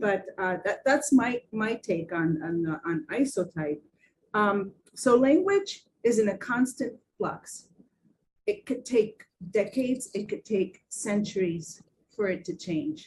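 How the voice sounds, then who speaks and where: Very slow and somewhat breathy, the voice moves with lively intonation. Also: woman. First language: Spanish or Portuguese. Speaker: design symposium panelist. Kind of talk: panel discussion. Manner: halting, many fillers and repeats.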